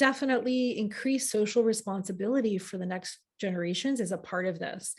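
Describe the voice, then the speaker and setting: A woman with a somewhat breathy voice speaks at a fairly quick pace. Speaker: astrology teacher. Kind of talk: live online class. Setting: livestream with chat. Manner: fast.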